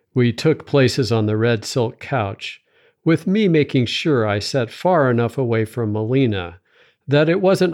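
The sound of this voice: A man with an ordinary speaking voice talks at a fairly slow pace. His intonation is lively over a quiet background.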